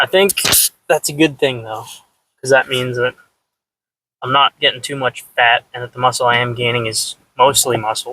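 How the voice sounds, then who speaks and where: A man with a medium-pitched voice speaks in a bright, sharp tone and fairly even intonation, leaving long, frequent pauses, in a dry, close sound with no echo. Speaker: fitness vlogger. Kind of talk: video diary. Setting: in a car. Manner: fast; casual.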